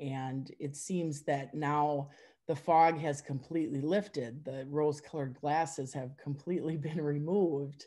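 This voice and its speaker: Against a quiet background, a woman with an Upper Midwest accent talks at a fairly slow pace in a very deep, low pitch, her tone dark and mellow and her intonation fairly even. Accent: Upper Midwest American. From Wisconsin. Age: 50s. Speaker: forum member sharing personal story; interviewee. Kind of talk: testimony. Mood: reflective, personal. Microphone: video call.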